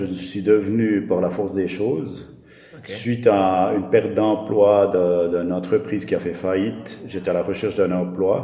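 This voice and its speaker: A man talks at a moderate pace with a fairly low pitch and ordinary pitch variation. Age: 50s. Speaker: school caretaker. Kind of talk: interview. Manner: halting.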